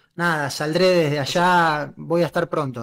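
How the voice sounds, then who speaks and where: At a moderate pace, a man speaks with fairly even intonation in a high pitch. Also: quiet background. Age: 30s. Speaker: football journalist and streamer; football journalist, streamer. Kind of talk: casual interview.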